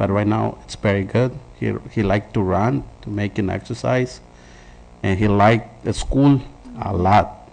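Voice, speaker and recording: The speaker is a man at a fairly slow pace. His pitch variation is ordinary. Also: fairly low pitch for a man. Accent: non-native. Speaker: parent speaking at public comment. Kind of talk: public comment. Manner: halting.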